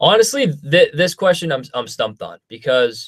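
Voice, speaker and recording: A man speaks with a Canadian accent. The recording is very clean, with a silent background. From Canada. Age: 20s. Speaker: YouTuber. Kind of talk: live stream Q&A. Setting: home studio live stream. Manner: casual, filler-heavy.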